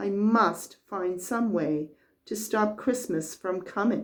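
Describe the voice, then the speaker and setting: In a put-on, growling character voice, a woman talks at a fairly slow pace with medium pitch and ordinary pitch variation. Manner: growling, grumpy.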